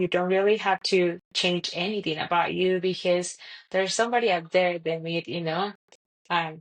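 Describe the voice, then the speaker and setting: A woman in a Colombian accent, fairly low in pitch, with fairly even intonation. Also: moderate pace. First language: Spanish. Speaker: podcast guest, mother. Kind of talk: casual interview chat. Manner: halting, many fillers.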